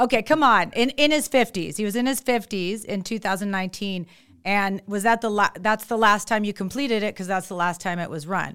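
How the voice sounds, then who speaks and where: A woman with an American accent, medium in pitch and animated in tone, with ordinary pitch variation and a fairly quick pace, in a very clean recording over a silent background. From San Francisco. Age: 50s. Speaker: doctor and podcast host. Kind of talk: casual interview.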